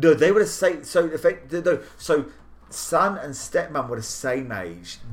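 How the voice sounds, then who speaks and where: A man with a British accent at a fairly slow pace. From southern England. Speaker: podcast host and editor. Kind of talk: casual chat.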